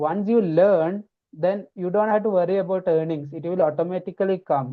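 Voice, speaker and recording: Talking at a fairly quick pace, a man with an Indian accent has a high pitch and ordinary pitch variation. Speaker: pharmacy researcher and educator. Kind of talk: podcast interview.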